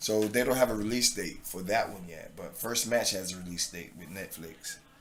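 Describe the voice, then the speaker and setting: Over noticeable background noise, a man with an American accent talks at a moderate pace in a fairly low voice, with ordinary pitch variation and big swings in loudness. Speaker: actor and former pro football player. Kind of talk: podcast interview.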